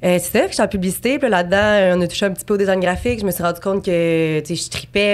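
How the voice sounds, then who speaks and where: This woman talks at a very fast pace with a medium pitch and fairly even intonation. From Quebec City, Quebec. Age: 20s. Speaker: abstract painter. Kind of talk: podcast interview. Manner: casual, many fillers.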